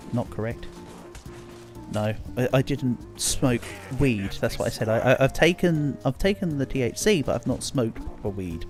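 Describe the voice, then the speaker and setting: A man's medium-pitched voice with lively intonation at a moderate pace, music in the background. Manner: repeating word starts, getting stuck.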